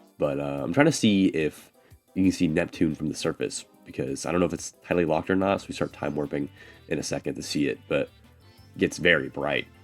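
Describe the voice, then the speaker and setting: Music plays behind a man whose very deep, low voice moves at a fairly quick pace with ordinary pitch variation. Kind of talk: casual gameplay commentary. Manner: casual, hesitant, with filler words.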